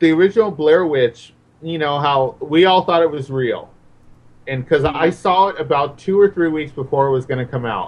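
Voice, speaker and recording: A man with an ordinary speaking voice talks fairly quickly, his fairly high pitch showing ordinary pitch variation. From Mexican-American neighborhood, US. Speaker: horror film guest. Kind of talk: casual chat.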